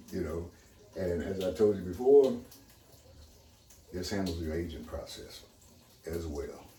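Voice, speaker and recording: Over noticeable background noise and audible room echo, a man with a very deep, low voice speaks fairly slowly with ordinary pitch variation and long, frequent pauses. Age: 70s. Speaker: water purifier user and seller. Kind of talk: casual chat.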